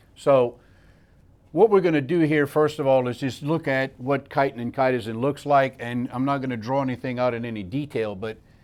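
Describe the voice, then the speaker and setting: On a very clean recording with a silent background, a man talks at medium pitch with ordinary pitch variation. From south Louisiana, raised in Scotland. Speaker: chemist. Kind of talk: technical lecture.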